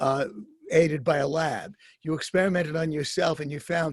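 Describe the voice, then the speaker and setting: Somewhat breathy, a man with fairly high pitch speaks at a fairly quick pace with ordinary pitch variation. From New York City. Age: 70s. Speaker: guest interviewer, writer. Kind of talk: interview. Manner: halting, many fillers.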